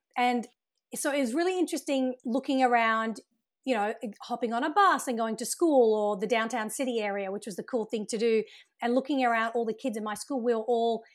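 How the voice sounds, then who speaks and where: In a very clean recording with a silent background, a woman speaks in a high pitch with an Australian accent. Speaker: TV producer and writer. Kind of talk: casual interview.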